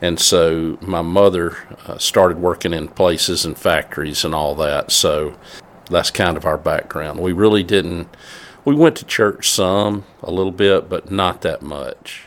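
With a Mississippi accent, a man speaks at a fairly slow pace. His pitch is very deep and low, with ordinary variation. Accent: Southern US (Mississippi). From US South, north Mississippi. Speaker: church men's ministry director. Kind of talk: interview.

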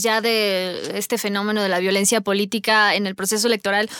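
In a plain, everyday voice, a woman speaks at a moderate pace with a fairly high pitch. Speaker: podcast moderator. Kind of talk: panel discussion.

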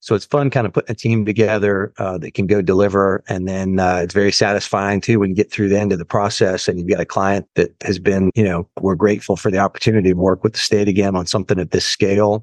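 A man with an American accent talks at a very fast pace with hardly any pauses, his pitch fairly low and intonation flat and monotone. The sound is dry and close, with no echo. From Florida, US. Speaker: construction executive. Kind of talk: interview podcast.

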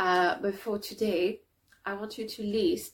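A woman with a non-native accent, medium in pitch, at a fairly slow pace. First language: not English. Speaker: writing coach running a creativity challenge. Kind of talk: guided exercise tutorial. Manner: hesitant, many fillers.

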